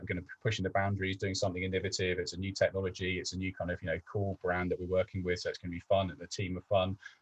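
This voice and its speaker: A man talks at a very fast pace in a very deep, low pitch, somewhat breathy, with hardly any pauses and big swings in loudness, in a dry, close sound with no echo. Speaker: business development manager. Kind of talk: webinar presentation. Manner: hesitant, many fillers.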